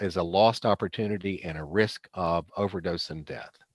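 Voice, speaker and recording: A man with a plain, everyday voice speaks at a moderate pace with ordinary pitch variation. The recording sounds dry and close, with no echo. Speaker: presenter on addiction treatment. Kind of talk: lecture. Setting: video call.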